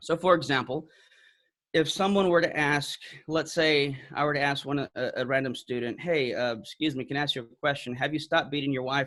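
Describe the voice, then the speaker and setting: A fairly high-pitched man with a bright, sharp tone in a very clean recording with a silent background. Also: fairly even intonation, fairly quick pace. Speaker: apologetics speaker. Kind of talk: talk. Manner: fast.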